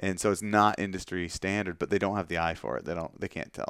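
This man has a normal speaking voice with a fairly low pitch and ordinary pitch variation. He talks at a fairly quick pace, and the sound is dry and close with no echo. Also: very clean recording, silent background. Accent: Canadian. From Canada, Ontario north of Toronto. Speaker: publisher and church pastor. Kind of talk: casual interview. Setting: in person at publisher's office.

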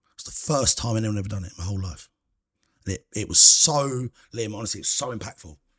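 A man with a southern English accent, fairly low in pitch, at a very fast pace, with ordinary pitch variation and big swings in loudness. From England, Cambridgeshire. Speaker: food critic. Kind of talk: casual chat.

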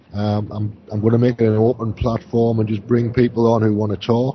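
A somewhat breathy man's voice of medium pitch at a moderate pace. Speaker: radio host. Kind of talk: live radio show chat.

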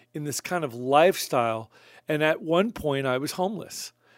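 Recorded very cleanly with a silent background and a dry, close sound with no echo, a man with an American accent talks at a fairly quick pace in an ordinary speaking voice, fairly high in pitch. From Long Island, New York. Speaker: music producer. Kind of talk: casual interview. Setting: studio.

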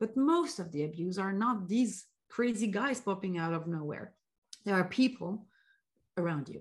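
Against a quiet background, a woman talks at a moderate pace with long, frequent pauses. Her medium-pitched voice is somewhat breathy. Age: 30s. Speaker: CX consultant and career coach. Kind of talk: podcast interview. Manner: halting, many fillers.

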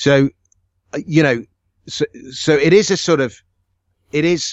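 A man with an English accent, speaking at a fairly slow pace. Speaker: author. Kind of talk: casual chat.

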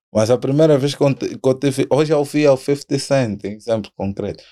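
A man with a dark, mellow tone and lively intonation speaks at a moderate pace in a very clean recording with a silent background. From Angola. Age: 20s. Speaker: rapper. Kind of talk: casual chat.

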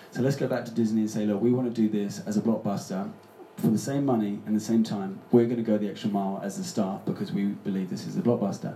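Audible room echo surrounds a man who speaks very fast with fairly low pitch and ordinary pitch variation. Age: 30s. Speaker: public speaker. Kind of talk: live panel discussion. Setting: stage with audience.

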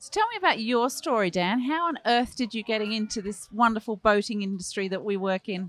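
Fairly quick speech with a British accent, hardly any pauses, ordinary pitch variation, big swings in loudness and noticeable background noise. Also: woman, fairly high pitch for a woman. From UK. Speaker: podcast host. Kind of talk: podcast intro and interview. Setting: boat show.

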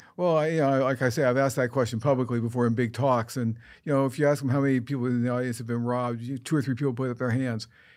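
A man with a medium pitch talks at a very fast pace with hardly any pauses and fairly even intonation, on a very clean recording with a silent background. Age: 70s. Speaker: criminology professor. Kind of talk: interview. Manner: halting.

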